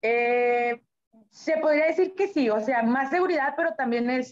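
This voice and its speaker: A woman's high voice at a fairly slow pace, with lively intonation. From Monterrey, Mexico. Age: 20s. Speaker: professional boxer. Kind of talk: interview.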